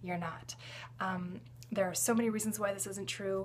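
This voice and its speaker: A woman's voice with lively intonation and vocal fry over light background noise. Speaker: health educator vlogger. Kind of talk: casual vlog chat. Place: home room. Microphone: phone near.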